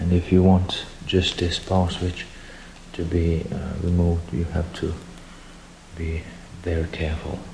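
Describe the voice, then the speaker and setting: A man with a non-native accent speaks at a very slow pace, his pitch very deep and low. His intonation is monotone and flat, with noticeable background noise. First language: not English. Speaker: DIY hobbyist, music producer. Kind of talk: tutorial. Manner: halting.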